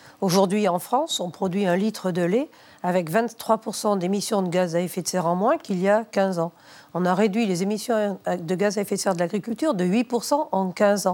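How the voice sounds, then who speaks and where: In a very clean recording with a silent background, a woman with a dark, mellow tone speaks at a moderate pace with ordinary pitch variation. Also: medium pitch for a woman. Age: 60s. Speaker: former farmers' union leader. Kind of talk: televised debate.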